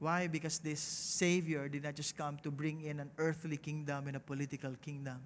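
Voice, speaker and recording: Fairly quick, flat, monotone delivery with hardly any pauses over light background noise. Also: man, fairly high pitch for a man. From Philippines. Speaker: pastor. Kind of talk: sermon. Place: stage. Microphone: headset.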